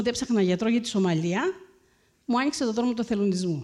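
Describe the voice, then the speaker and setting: Fairly high and dark, mellow in tone, a woman's voice rushes at a very fast pace through very wide pitch swings. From Crete, Greece. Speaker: surgeon and humanitarian volunteer. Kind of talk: public talk.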